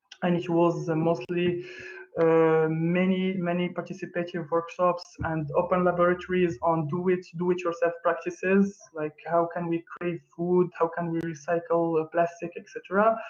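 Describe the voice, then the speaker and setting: In a French accent, a man speaks with a high pitch. His intonation is monotone and flat. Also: moderate pace. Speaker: arts collective member presenting. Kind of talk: online presentation. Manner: halting, many fillers.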